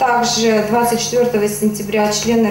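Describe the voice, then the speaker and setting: Noticeable background noise and audible room echo fill the recording. A woman speaks with monotone, flat intonation. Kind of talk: interview answer. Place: office.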